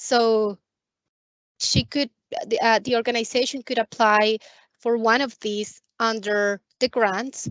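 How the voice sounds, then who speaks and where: A woman with an unremarkable speaking voice talks at a fairly slow pace, her fairly high pitch kept to fairly even intonation. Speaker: credit union staff presenter. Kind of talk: webinar Q&A. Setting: video call.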